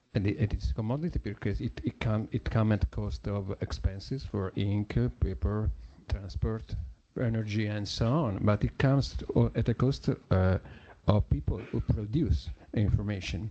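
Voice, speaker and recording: A man speaks with an Italian accent at a moderate pace, his pitch fairly low. His tone is dark, mellow and somewhat breathy, with lively intonation. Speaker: journalist. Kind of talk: conference talk. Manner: halting.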